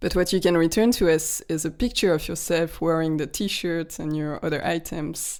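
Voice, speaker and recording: In a strong French accent, a woman speaks at a moderate pace on a very clean recording with a silent background. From France. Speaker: podcast co-host, PhD student. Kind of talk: casual chat. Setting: conference.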